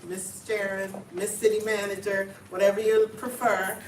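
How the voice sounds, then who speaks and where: A woman with a slight Jamaican accent is heard with audible room echo and noticeable background noise. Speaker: city manager. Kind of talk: town hall speech. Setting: community meeting with audience.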